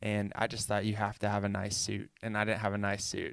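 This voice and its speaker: Recorded very cleanly against a silent background, a man talks in a fairly low pitch with an American accent. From US South, Chattanooga, Tennessee. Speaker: podcast host, recruiting founder. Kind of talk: solo monologue podcast. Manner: casual, filler-heavy.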